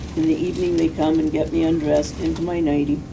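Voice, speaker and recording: Speaking with a Canadian accent, a woman with a very deep, low pitch talks in a monotone, flat way, with audible room echo and noticeable background noise. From Canada, British Columbia (Castlegar). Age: 60s. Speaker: ALS patient and right-to-die advocate. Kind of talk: prepared statement. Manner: formal.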